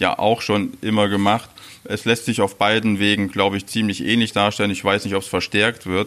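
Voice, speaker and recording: At a moderate pace, a man speaks with fairly low pitch. His intonation stays monotone and flat. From Saxony-Anhalt, Mansfeld area (former East Germany). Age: 40s. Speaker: chef. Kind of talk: interview. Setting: restaurant.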